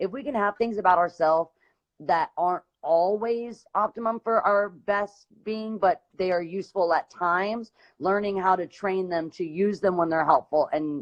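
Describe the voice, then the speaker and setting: Her pitch sits at a medium level for a woman, with ordinary variation. She talks at a moderate pace. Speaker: singer hosting a live series. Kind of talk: casual chat.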